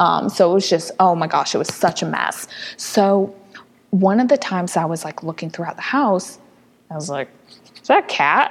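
A woman speaks with an American accent and lively intonation. Her speech has long, frequent pauses over noticeable background noise. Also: medium pitch for a woman, moderate pace. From US Midwest. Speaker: rescue founder. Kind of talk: casual interview chat.

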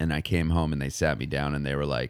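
Fairly even intonation and vocal fry mark this voice with an American accent. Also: man. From Los Angeles, San Fernando Valley. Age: 40s. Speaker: comedian and restaurant server. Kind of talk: casual chat.

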